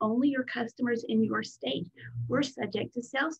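Over a quiet background, a woman with vocal fry talks at a moderate pace with lively intonation. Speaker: business coach. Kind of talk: training talk. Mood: friendly, occasional laughs. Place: home room. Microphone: webcam.

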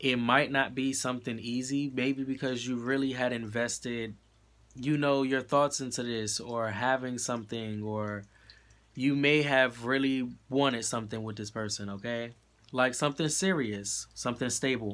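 Here a man speaks at a moderate pace with fairly even intonation. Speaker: tarot card reader. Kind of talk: tarot reading monologue. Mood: reassuring, encouraging. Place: home room. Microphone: phone near.

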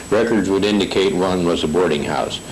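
Here a man with an American accent talks at a fairly quick pace. His pitch is very deep and low. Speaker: station foreman giving local history. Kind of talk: historical narration reading from notes.

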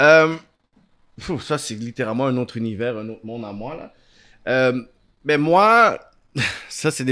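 Quiet surroundings and a man's ordinary pitch variation. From Montreal area, Quebec; Quebec. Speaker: talk show host and producer; talk show host. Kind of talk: interview. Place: home room. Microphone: studio mic.

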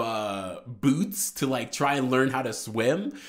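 The intonation is lively. The background is quiet. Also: man. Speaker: video reviewer. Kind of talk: casual vlog chat. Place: home room. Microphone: studio mic.

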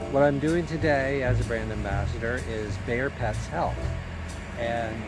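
Clear music plays behind a man talking at a moderate pace, the sound dry with no echo. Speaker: brand ambassador vlogger. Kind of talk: casual vlog chat. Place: street. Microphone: phone near.

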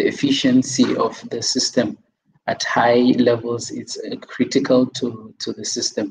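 A man speaking at a fairly slow pace. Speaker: researcher presenting a paper; presenter. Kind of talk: conference presentation. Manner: halting. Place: home room. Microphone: video call.

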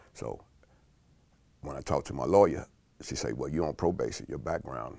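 The background is free of noise. A man talks at a fairly quick pace. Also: dry sound with no echo. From South Side of Chicago. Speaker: food company employee. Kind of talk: interview answer. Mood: calm, reflective life story. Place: studio. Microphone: lapel.

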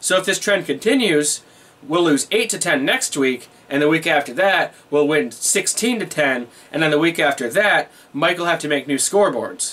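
High-pitched for a man, his voice moves with lively intonation at a moderate pace. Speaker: vlogger. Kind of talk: casual vlog chat. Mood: wry, animated storytelling. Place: home room.

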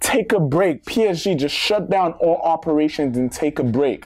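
This man's voice is fairly high in pitch with a slightly mellow tone. He talks at a moderate pace with lively intonation.

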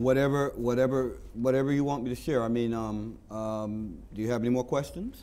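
His dark, mellow tone moves at a moderate pace with hardly any pauses. This man keeps a fairly even intonation. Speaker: volunteer TV director. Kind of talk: interview. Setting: studio. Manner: halting. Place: studio.

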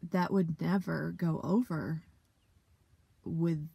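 Somewhat breathy and fairly low in pitch, a woman speaks in a dark, mellow tone with a dry sound and no echo. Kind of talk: interview answer. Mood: reflective, emotional. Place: car. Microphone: phone near.

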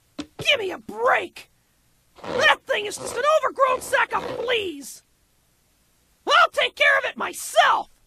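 An extremely high, put-on character voice moves at a fairly slow pace with long, frequent pauses. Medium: fan dub. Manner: brash, loud, impatient.

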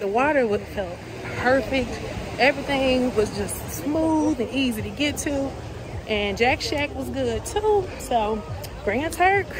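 A woman's high voice at a fairly slow pace, with long, frequent pauses, dry sound with no echo, and crowd noise in the background. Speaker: travel vlogger. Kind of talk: casual vlog chat. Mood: happy, enthusiastic. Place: street. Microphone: phone near.

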